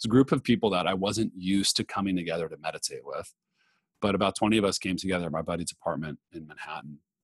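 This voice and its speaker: Speaking at a very fast pace, a man has a very deep, low pitch with ordinary pitch variation. The sound is dry and close, with no echo. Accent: Californian. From Los Angeles. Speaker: meditation movement founder. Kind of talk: interview. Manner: calm.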